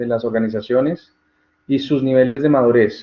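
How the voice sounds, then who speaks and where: A man's medium pitch with ordinary variation. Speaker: tutor. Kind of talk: online tutorial Q&A session. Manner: fast.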